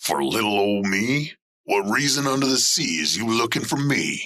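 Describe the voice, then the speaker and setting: A man in a gruff put-on character voice speaks at medium pitch and a moderate pace with lively intonation. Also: very even loudness. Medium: audio drama. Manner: streetwise, defensive, ungrammatical.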